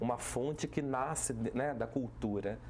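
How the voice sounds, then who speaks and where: A man with a Vale do Paraíba accent. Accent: caipira Taubaté accent, criticized for it. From Brazil, Taubaté (São Paulo interior). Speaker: municipal culture and tourism secretary. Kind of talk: TV talk show interview. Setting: TV studio.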